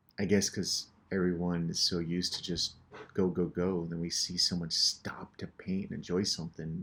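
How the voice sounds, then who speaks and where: A man's very deep, low voice with an American accent, fairly quick and flat in monotone intonation. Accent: American, unmistakable. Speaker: painter and show host. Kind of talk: casual narration over painting tutorial. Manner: casual, with hesitations and repetitions.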